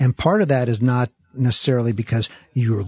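Over a quiet background, a man speaks somewhat breathily at medium pitch, with a dark, mellow tone and a dry, close sound with no echo. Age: 50s. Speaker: TV interviewer. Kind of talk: interview. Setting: studio.

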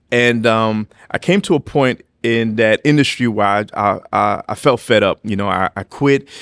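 A man speaks at a moderate pace in an unremarkable speaking voice, with a medium pitch and ordinary pitch variation. The sound is dry and close, with no echo. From New York City. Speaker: pastor. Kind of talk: testimony in casual interview.

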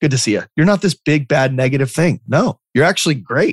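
With an American accent, a man speaks at a moderate pace in a fairly high voice, his intonation lively. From Arizona, Lake Havasu City. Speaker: real estate entrepreneur and speaker. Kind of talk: interview. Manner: casual, halting with fillers.

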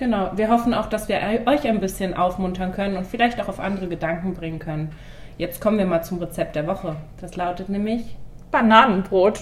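Fairly quick speech from a woman at medium pitch, ordinary pitch variation, noticeable background noise and audible room echo. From western Germany, Mainz. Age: 20s. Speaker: student teacher and podcast host. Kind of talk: scripted podcast intro.

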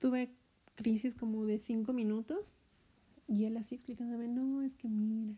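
At a moderate pace, a woman speaks in a monotone with flat intonation, her fairly high pitch carrying a dark, mellow tone. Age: 30s. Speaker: podcast host. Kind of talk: casual monologue. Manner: hesitant, many fillers.

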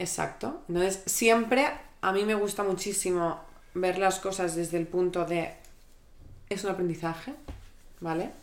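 Amid audible room echo, a woman with a medium pitch and ordinary pitch variation talks at a fairly slow pace, leaving long, frequent pauses. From Catalonia, Spain. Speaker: creative director. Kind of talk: casual chat.

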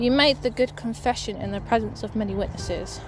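A woman talks at a moderate pace. Background music accompanies her. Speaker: podcast host. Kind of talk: fervent prayer; casual devotional chat. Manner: earnest, fervent, impassioned; warm, rambling, cheerful.

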